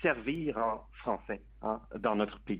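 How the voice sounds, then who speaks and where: This man talks at a very slow pace. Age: 30s. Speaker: advocacy group president. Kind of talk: radio interview.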